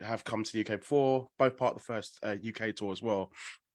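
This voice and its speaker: A man with an English accent, fairly low pitch and fairly even intonation at a very fast pace, on a very clean recording with a silent background. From England. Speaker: podcaster asking questions at a press call. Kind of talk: press conference question. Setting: conference call.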